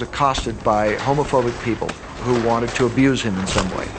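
A man is speaking. Music plays in the background. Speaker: teacher. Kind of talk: testimony.

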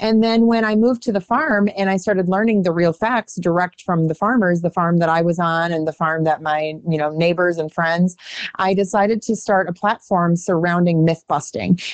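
A woman with an American accent and an ordinary speaking voice talks at a moderate pace in a fairly low pitch, with ordinary pitch variation, very even loudness and hardly any pauses. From US Midwest. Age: 30s. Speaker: agriculture advocate and speaker. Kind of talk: radio interview.

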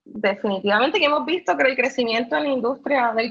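Pitch variation here is ordinary. The speaker is a woman with a high pitch. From Puerto Rico, raised partly in mainland US. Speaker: cannabis business entrepreneur. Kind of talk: interview. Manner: frequent fillers and repetitions.

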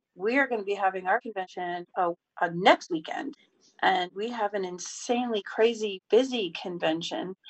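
A woman with an American accent talks at a moderate pace in a plain, everyday voice of medium pitch and ordinary pitch variation. The sound is dry and close, with no echo. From upstate New York. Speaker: caller, hotel worker. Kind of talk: casual chat.

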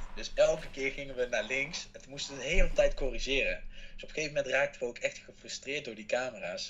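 Speaking very fast, the voice rises and drops sharply in loudness. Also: man. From Netherlands. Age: 20s. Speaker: reality show contestant. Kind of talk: interview.

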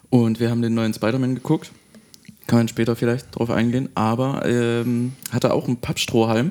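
The tone is dark and mellow, with fairly even intonation. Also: man, medium pitch for a man, moderate pace. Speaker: podcast host. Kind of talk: casual chat.

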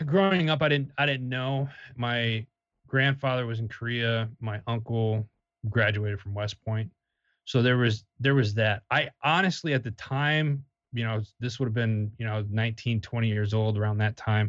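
Using an unremarkable speaking voice, a man talks at a moderate pace in a medium pitch with ordinary pitch variation. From Wisconsin, US Midwest. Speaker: army veteran, media company founder. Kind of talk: interview.

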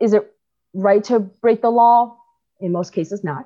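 A woman's dark, mellow tone with an American accent, ordinary pitch variation and a moderate pace over a quiet background. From China, moved to the US at 10. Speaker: immigration advocate. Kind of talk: interview.

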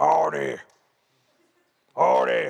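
A man puts on a gruff character voice. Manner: pirate-like.

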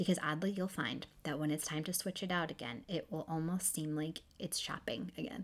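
On a very clean recording with a silent background, a woman with lively intonation talks at a moderate pace and a fairly low pitch. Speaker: fashion blogger. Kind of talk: tutorial. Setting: recording at home computer. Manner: halting, self-correcting.

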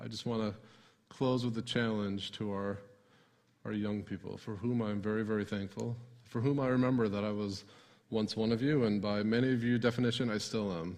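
A man's plain, everyday voice, fairly low in pitch, with an American accent, fairly even intonation and a fairly quick pace. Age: 40s. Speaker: pastor. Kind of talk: sermon. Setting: church.

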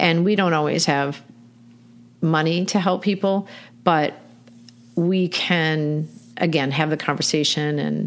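A woman is speaking. Her pitch is very deep and low, with ordinary pitch variation. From Michigan. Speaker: animal welfare nonprofit director. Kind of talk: casual interview.

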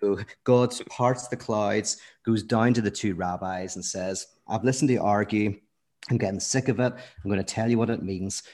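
A man with a Northern Irish accent and a fairly low pitch talks at a moderate pace over a quiet background. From Northern Ireland, Belfast. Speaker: philosopher and theologian. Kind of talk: podcast interview. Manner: animated.

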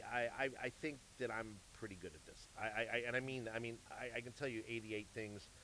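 A man at a medium pitch with an American accent, a bright, sharp tone, fairly even intonation, a moderate pace and big swings in loudness. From US Midwest, St. Louis, Missouri. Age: 50s. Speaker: music manager and entertainment executive. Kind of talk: casual chat. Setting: live at a jazz club. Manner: halting, repeats words.

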